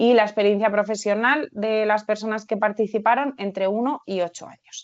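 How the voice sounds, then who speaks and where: A woman with a fairly high pitch keeps her intonation fairly even and her pace moderate. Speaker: researcher and occupational therapist. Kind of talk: webinar presentation. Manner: halting.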